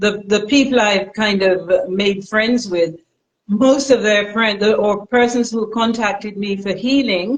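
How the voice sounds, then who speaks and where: Speaking at a fairly slow pace, the voice is a normal speaking voice with fairly even intonation. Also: woman, medium pitch for a woman. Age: 60s. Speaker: natural health practitioner. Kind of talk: live stream interview. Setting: live stream.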